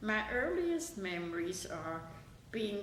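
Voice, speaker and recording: Speaking very slowly with a German accent, a woman at medium pitch swings very widely in pitch amid audible room echo and noticeable background noise. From Germany (Bavaria). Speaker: interviewee recalling her life. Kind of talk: oral history interview.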